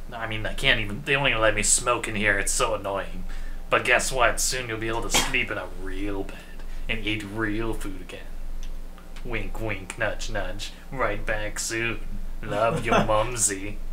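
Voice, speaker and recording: In a raspy, put-on character voice, the speaker goes at a moderate pace with long, frequent pauses over loud background noise. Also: man. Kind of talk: comic voice acting of a note. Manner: raspy smoker lady, chatty.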